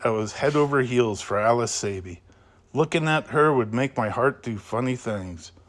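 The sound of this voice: An unforced reading voice, its pitch varying the usual amount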